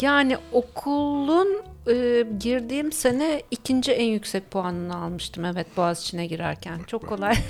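Over music in the background, a woman talks at a moderate pace with hardly any pauses. Her fairly high pitch swings very widely, and her loudness rises and falls sharply. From Turkey, Izmir and Ayvalık. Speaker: scuba diver and former Canada emigrant. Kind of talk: radio interview.

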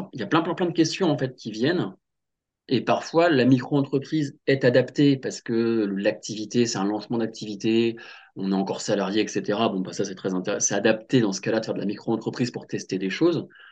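With a plain, everyday voice, a man speaks at medium pitch and a fairly quick pace, his intonation lively against a quiet background. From western France, Loire-Atlantique (Nantes). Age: 30s. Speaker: career change coach. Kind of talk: casual interview.

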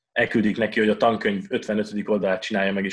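A fairly low-pitched man's voice at a very fast pace. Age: 20s. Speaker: mathematics PhD student. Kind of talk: casual Q&A talk. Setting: video call.

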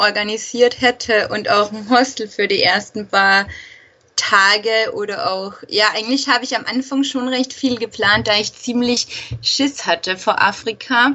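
Through noticeable background noise, a woman with a fairly high pitch speaks at a fairly slow pace with ordinary pitch variation. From Austria. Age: 20s. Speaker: travel blogger, former nurse. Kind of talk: interview.

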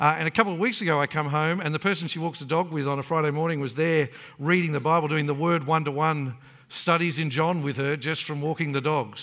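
With an Australian accent, a man talks at a fairly quick pace in a bright, sharp tone, his fairly high pitch showing ordinary pitch variation. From Australia (Queensland, Brisbane area). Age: 40s. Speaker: pastor. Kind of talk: sermon.

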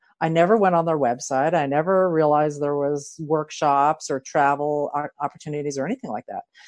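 A woman with a very deep, low pitch and a Philadelphia accent, in a dry, close sound with no echo. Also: ordinary pitch variation, fairly quick pace, hardly any pauses. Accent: Philadelphia American. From Philadelphia, US. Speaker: life coach, new co-host. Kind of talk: casual conversation.

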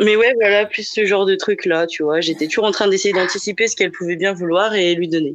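A normal speaking voice at a fairly quick pace, with hardly any pauses. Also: woman, medium pitch for a woman, fairly even intonation. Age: 20s. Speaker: podcast guest sharing a personal love story. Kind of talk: casual chat. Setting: live podcast recording.

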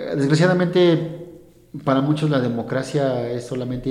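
With ordinary pitch variation, a man talks in a fairly high voice that has a dark, mellow tone and some audible room echo. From Mexico, Hidalgo. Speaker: lawyer working for an electoral body. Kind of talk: casual interview. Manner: halting, many repetitions.

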